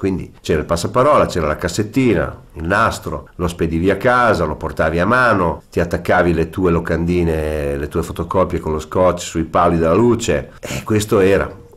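A man with a very deep, low pitch, ordinary pitch variation and a fairly quick pace. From Ferrara, Emilia-Romagna, Italy; Emilia-Romagna, Italy. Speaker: musician and showman. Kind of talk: interview. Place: studio.

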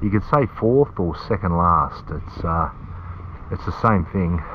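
Very deep and low, this man's voice moves at a fairly slow pace. Light background noise sits behind it. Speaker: bodyboarding vlogger. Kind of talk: casual vlog chat. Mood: relaxed, self-deprecating. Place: car. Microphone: phone near.

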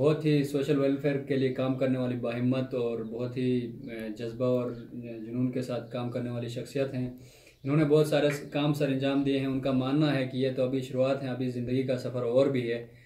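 In a room with audible echo, a man talks with monotone, flat intonation. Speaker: interviewer, doctor. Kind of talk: introduction to camera. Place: office.

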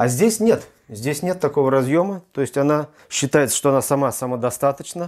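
Here a man talks with lively intonation at a moderate pace. The background is quiet. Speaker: tech reviewer. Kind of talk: unboxing tutorial. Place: home room. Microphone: lapel.

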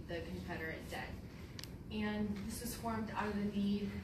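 Over noticeable background noise with audible room echo, a woman talks at a moderate pace. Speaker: presenter. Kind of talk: lecture. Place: hall. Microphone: camera far.

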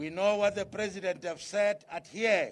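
A man with a high pitch talks at a fairly slow pace, his intonation fairly even. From South Africa, Free State. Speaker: provincial politician. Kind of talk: public speech. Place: street. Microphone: podium.

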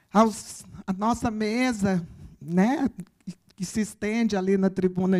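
Against a quiet background, a woman is speaking. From Brazil. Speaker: campus director; speaker, professor. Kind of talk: ceremonial speech. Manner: halting, many fillers. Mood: warm, emotional. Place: stage. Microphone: handheld.

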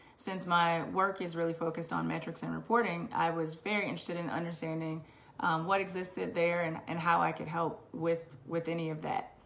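Speech moves at a fairly quick pace with fairly even intonation. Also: woman, fairly low pitch for a woman. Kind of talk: personal testimony. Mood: earnest, reflective. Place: home room. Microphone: webcam.

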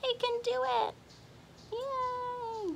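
Light background noise can be heard. The voice belongs to a woman. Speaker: teacher reading to children. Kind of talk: children's story reading. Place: garden. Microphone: phone near.

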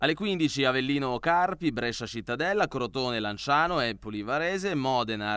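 A man with a bright, sharp tone and medium pitch speaks at a moderate pace with lively intonation in a very clean recording with a silent background. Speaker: sports news anchor. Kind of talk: news reading.

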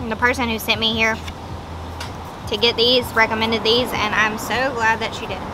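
A woman talking at a fairly quick pace amid noticeable background noise. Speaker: food reviewer. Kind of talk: casual vlog chat. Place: street.

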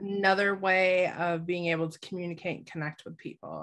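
A woman speaks at a fairly quick pace with a fairly low pitch, a fairly bright tone and fairly even intonation.

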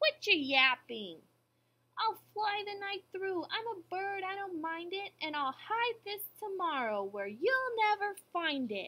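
Using a put-on character voice, a woman speaks at an extremely high pitch with very wide pitch swings and a fairly slow pace. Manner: sneering.

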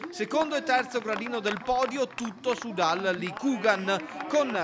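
A man speaks at a fairly slow pace in an energetic tone, his high voice making very wide pitch swings. Noticeable background noise is present. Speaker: sports video narrator. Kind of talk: race commentary recap. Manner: brisk, energetic, steady narration.

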